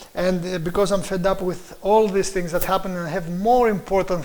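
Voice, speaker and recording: Audible room echo surrounds a voice with a Greek accent and fairly even intonation. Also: man. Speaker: preacher and lecturer. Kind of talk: lecture. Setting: live stream. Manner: halting, with many fillers.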